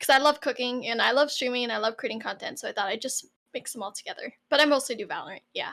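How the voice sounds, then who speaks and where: A woman at a very fast pace, high-pitched with a bright, sharp tone, on a very clean recording with a silent background. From Canada, Toronto. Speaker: streamer. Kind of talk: interview.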